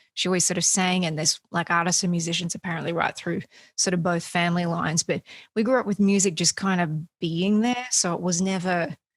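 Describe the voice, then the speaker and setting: On a very clean recording with a silent background and a dry, close sound with no echo, a woman with an Australian accent talks at a fairly quick pace, her pitch fairly low and her intonation fairly even. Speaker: singer-songwriter. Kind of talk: interview.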